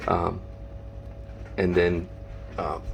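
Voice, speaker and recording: A man speaks quietly against noticeable background noise. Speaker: reptile and reef hobbyist YouTuber. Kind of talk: casual vlog. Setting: at home at night. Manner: quiet, hushed; hesitant, many fillers.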